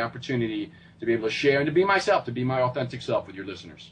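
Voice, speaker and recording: A man with a New York accent talks at a very fast pace in a fairly high pitch with ordinary pitch variation. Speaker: fitness coach and motivational speaker. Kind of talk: interview. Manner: animated.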